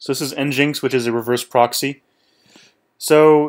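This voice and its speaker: An ordinary speaking voice from a man at medium pitch with ordinary pitch variation, in a very clean recording with a silent background. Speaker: tech tutorial youtuber. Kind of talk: tutorial. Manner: casual, many fillers.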